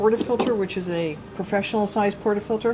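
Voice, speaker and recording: Noticeable background noise accompanies a woman speaking at a fairly quick pace. Her pitch is fairly high and her intonation fairly even. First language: not English. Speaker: coffee equipment presenter. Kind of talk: product demonstration.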